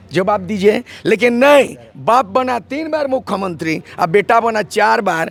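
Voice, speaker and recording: A man speaks in an animated tone with very wide pitch swings over noticeable background noise. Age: 70s. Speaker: politician. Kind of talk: interview.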